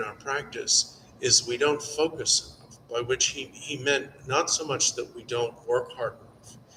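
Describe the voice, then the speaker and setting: With noticeable background noise, a man talks at a fairly slow pace. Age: 60s. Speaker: Buddhist teacher. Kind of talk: dharma teaching Q&A. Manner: halting.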